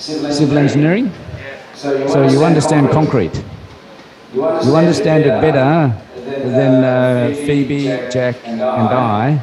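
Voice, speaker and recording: With an Australian accent, a man speaks at a very slow pace and a fairly high pitch, with ordinary pitch variation and long, frequent pauses, amid audible room echo and noticeable background noise. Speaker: university professor. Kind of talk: lecture. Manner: hesitant, many fillers.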